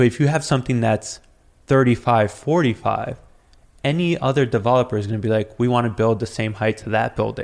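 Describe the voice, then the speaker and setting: With an ordinary speaking voice, a man talks at a fairly quick pace, keeping a medium pitch and ordinary pitch variation. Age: 30s. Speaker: city council candidate. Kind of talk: casual interview.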